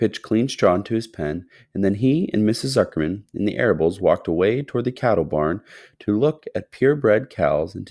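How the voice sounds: Lively intonation carried by a natural reading voice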